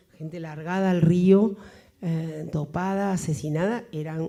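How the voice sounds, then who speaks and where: A woman with a very deep, low pitch and ordinary pitch variation speaks very slowly with audible room echo. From Argentina. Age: 60s. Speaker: writer. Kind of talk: Q&A after a lecture. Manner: hesitant, many fillers.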